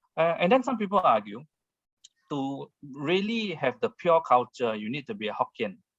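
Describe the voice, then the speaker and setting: Recorded dry and close with no echo, a man with a fairly high voice and a Singaporean accent talks at a moderate pace, his pitch swinging very widely. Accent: Baba Peranakan Singaporean. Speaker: author and speaker on history. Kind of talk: online talk Q&A answer. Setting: video call. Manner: hesitant with many fillers.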